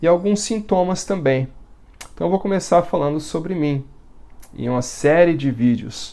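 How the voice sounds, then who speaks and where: A man talks at a moderate pace in a dark, mellow tone with ordinary pitch variation. The recording is very clean, with a silent background. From Brazil, Minas Gerais interior. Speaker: former Jehovah's Witness sharing his story. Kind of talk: testimony. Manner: halting, pauses as words get tangled.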